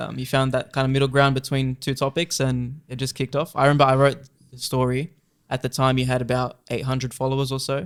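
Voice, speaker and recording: Very fast speech comes from a man at medium pitch. The intonation stays monotone and flat. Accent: Australian. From Australia, Lebanese background. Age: 20s. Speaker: journalist. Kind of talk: casual chat. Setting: home garage studio.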